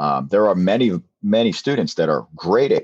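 Recorded with a dry, close sound, no echo and a quiet background, a man speaks with a Philadelphia accent. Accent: Philadelphia-area American. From southern New Jersey. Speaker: math teacher. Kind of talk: interview.

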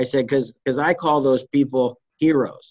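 Here is a man with an American accent and a normal speaking voice. His pitch is medium and his intonation fairly even. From US East Coast. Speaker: trial lawyer. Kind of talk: casual interview.

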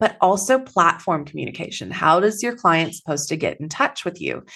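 In a slight Texan accent, the voice moves at a moderate pace with very wide pitch swings against a quiet background. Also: woman. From Texas. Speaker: business coach. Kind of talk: podcast interview.

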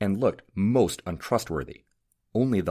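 An unforced reading voice with ordinary pitch variation comes through against a quiet background.

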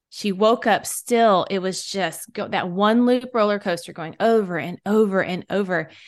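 A woman talks at a moderate pace with hardly any pauses, her medium pitch and fairly even intonation carried in an ordinary speaking voice. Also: quiet background. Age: 40s. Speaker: podcast host and author, mother. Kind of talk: casual chat.

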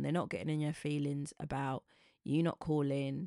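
A woman with a British accent speaks at a moderate pace in a very deep, low, dark, mellow voice, recorded very cleanly with a silent background and a dry, close sound with no echo. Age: 40s. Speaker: podcast host. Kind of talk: storytelling monologue.

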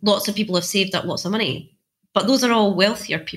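A woman with a Scottish accent. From central Scotland, Clackmannanshire. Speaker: economics research institute director. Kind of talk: interview.

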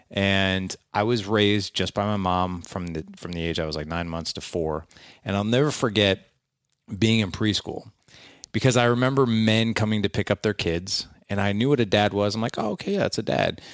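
A man talks at a fairly quick pace with a fairly low pitch and ordinary pitch variation, a normal speaking voice. The recording is very clean, with a silent background. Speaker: podcast host and fatherhood coach. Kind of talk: interview storytelling.

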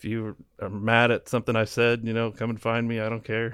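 On a very clean recording with a silent background, a man with a Midwestern US accent talks at a medium pitch and a fairly quick pace in a monotone, flat intonation. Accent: US Midwest. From Kansas, Wichita. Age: 30s. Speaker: food reviewer. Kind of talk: casual chat.

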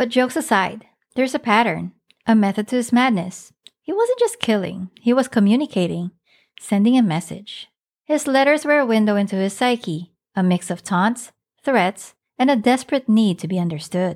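A woman speaks with an animated, dramatic tone and lively intonation at a moderate pace and a fairly high pitch. The recording is very clean, with a silent background. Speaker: podcast host. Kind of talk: true-crime narration, scripted and dramatic storytelling. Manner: conversational, wry, with humor and direct address.

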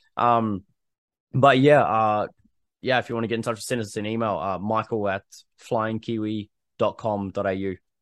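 Long, frequent pauses break up speech in a New Zealand accent. The sound is dry and close with no echo over a quiet background. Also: man, fairly low pitch for a man, fairly even intonation, moderate pace. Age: 30s. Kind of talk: casual interview chat.

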